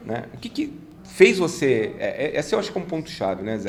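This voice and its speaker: The speed of delivery is moderate. The speaker is a man. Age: 50s. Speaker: business consultant and mentor. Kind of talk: casual chat.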